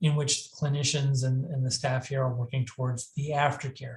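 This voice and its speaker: A man speaks with a somewhat breathy voice. His pitch is fairly high. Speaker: mental health crisis services director and presenter. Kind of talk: lecture. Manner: fast; halting, many fillers and restarts.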